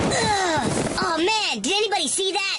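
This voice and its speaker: This cartoonish character voice sits at an extremely high pitch. It moves at a moderate pace over clear background noise. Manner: brash, impulsive.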